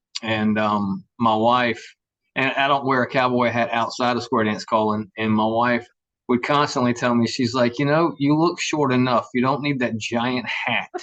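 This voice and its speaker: Against a quiet background, a speaker with a Southern US accent talks at a moderate pace with very even loudness and fairly even intonation. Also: man, medium pitch for a man. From US South, Savannah, Georgia. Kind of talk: casual chat.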